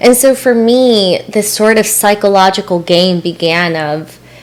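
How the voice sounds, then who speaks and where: There is noticeable noise behind the speech. The speaker is a woman whose pitch varies in an ordinary way. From El Salvador, then US from age twelve. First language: Spanish. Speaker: mindfulness and spirituality coach. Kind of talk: podcast interview, personal story.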